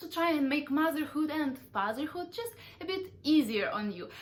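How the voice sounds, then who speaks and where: A woman with a Ukrainian accent, high pitch and lively intonation, at a moderate pace. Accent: Russian-speaking Ukrainian accent in English. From Ukraine. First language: Russian. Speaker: parenting vlogger. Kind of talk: vlog monologue.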